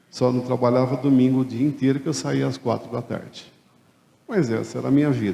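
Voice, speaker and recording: A man speaks with a dark, mellow tone, and audible room echo surrounds his voice. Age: 60s. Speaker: retired accountant turned café franchise owner. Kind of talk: conference talk.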